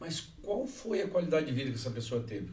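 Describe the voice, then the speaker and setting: With lively intonation and a fairly high pitch, a man speaks in a room with audible echo. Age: 60s. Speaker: podcast co-host. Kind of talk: casual chat.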